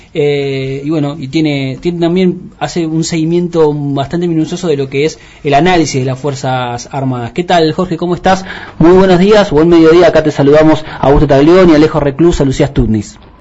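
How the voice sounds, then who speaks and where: A fairly high-pitched man at a fairly quick pace, with fairly even intonation and noticeable background noise. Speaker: radio host. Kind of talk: interview. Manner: halting.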